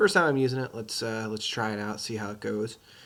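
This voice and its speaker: A man talks at a fairly low pitch with ordinary pitch variation. Noticeable background noise is heard. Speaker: teacher. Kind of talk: casual commentary to students. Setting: home recording.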